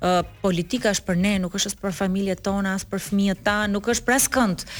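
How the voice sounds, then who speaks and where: A woman's medium-pitched voice at a very fast pace on a very clean recording with a silent background. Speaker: politician. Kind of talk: morning show interview. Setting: studio.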